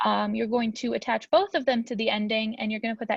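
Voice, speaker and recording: Talking at a very fast pace, a woman with a fairly high pitch sounds dry and close, with no echo. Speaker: student teacher. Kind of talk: tutorial. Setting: recorded video lesson for a class. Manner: casual with frequent fillers.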